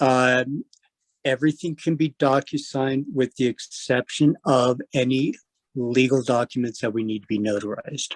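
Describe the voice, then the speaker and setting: An unremarkable speaking voice from a man, medium pitch, fairly even intonation, moderate pace, dry close sound with no echo. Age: 60s. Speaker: escrow officer teaching a class. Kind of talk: lecture.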